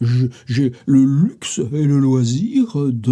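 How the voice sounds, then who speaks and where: Recorded very cleanly against a silent background, a man speaks with a dark, mellow tone that is somewhat breathy. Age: 70s. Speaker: writer and literary videoblogger. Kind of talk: casual literary monologue. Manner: hesitant, many fillers and repetitions; animated.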